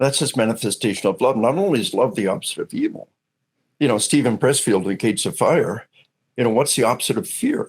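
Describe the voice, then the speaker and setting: A man with an American accent, medium pitch, lively intonation and a very fast pace. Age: 60s. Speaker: retired army officer, author and speaker. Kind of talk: interview conversation. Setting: podcast. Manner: animated, repetitive stammering starts.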